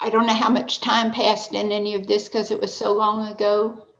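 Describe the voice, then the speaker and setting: A woman speaks in a fairly high voice with monotone, flat intonation. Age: 70s. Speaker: churchgoer sharing faith story. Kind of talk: testimony. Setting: online video class. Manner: conversational, hesitant fillers.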